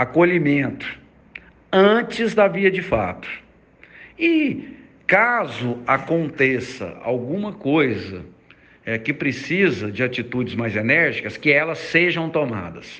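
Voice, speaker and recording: A man with a fairly high pitch talks at a very slow pace, leaving long, frequent pauses. His tone is bright and sharp, with vocal fry and very wide pitch swings. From Goiás, Brazil. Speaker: school administrator. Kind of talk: recorded audio message.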